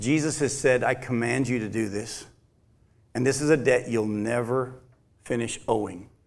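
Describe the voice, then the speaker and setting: With audible room echo, a man of medium pitch talks at a moderate pace, his intonation fairly even and his pauses long and frequent. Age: 50s. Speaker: pastor. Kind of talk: sermon.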